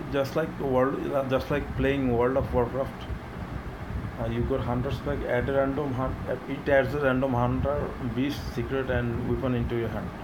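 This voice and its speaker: Noticeable background noise runs under this recording. A man speaks at a moderate pace. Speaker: video game content creator. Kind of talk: casual gaming video commentary. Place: home room. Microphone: phone near.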